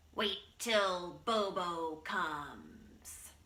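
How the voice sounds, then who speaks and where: A growling, put-on character voice. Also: female-sounding voice, medium pitch for a woman. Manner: snarling, threatening.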